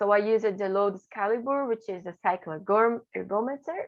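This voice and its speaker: With a Portuguese accent, a woman speaks at a moderate pace in a fairly high pitch with ordinary pitch variation. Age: 20s. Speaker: graduate student researcher. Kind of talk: conference presentation. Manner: halting, with self-corrections.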